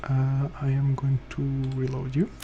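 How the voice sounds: A man speaks at a medium pitch and a fairly slow pace. His intonation is monotone and flat, with vocal fry.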